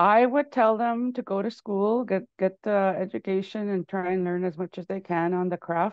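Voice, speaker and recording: The speech moves at a moderate pace with ordinary pitch variation and hardly any pauses. The sound is dry with no echo, and the background is quiet. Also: woman. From Canada, Cree First Nation in Manitoba. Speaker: musician and filmmaker; interview guest. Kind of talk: interview. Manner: halting, many fillers and repetitions. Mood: warm, friendly. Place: home room. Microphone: earbuds.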